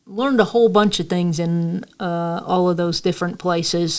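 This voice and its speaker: A woman speaks with an American accent at a fairly low pitch. The recording is very clean and the background silent. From New York. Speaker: local history storyteller, podcast host. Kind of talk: storytelling podcast monologue. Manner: casual, repetitive with fillers.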